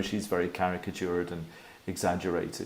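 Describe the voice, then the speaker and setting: A man with a Scottish accent talks at a moderate pace in a dark, mellow tone. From Scotland, Edinburgh. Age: 60s. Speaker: animator. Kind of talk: presentation talk.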